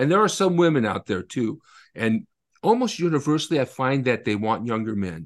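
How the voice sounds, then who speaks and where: Over a quiet background, a man at medium pitch talks at a fairly quick pace with very wide pitch swings. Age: 50s. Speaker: author and attorney. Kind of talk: interview.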